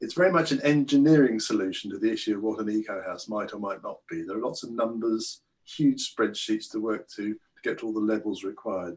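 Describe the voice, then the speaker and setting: A man speaks at a fairly quick pace. He barely pauses. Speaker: self-builder presenting his eco home. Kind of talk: online presentation. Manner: halting.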